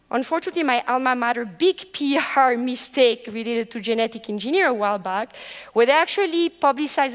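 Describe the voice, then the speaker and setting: A woman with a French accent speaks very fast in a high pitch, with ordinary pitch variation. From France. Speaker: professor. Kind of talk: lecture.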